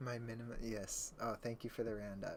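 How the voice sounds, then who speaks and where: Soft-spoken, a man talks at a fairly quick pace. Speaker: streamer. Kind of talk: casual livestream chat.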